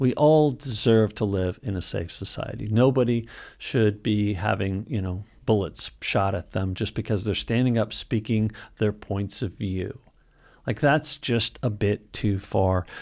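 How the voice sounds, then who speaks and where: On a very clean recording with a silent background, a man speaks at a fairly slow pace in a fairly low pitch with ordinary pitch variation. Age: 50s. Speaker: longevity supplement YouTuber. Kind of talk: video commentary monologue. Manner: halting, many fillers; firm and direct.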